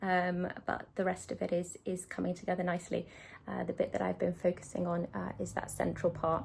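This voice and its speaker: On a very clean recording with a silent background, a woman with a British accent talks at a fairly quick pace. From UK. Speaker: cross-stitch video creator. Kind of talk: casual chat. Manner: fast; hesitant, many fillers.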